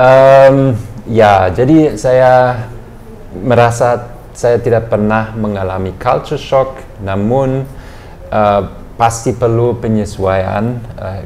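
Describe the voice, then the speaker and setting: Background noise is noticeable, and the room echo is audible. A man speaks very slowly, with fairly even intonation and long, frequent pauses. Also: medium pitch for a man. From eastern Germany. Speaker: director of a German cultural and language centre. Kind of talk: interview. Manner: hesitant, many fillers.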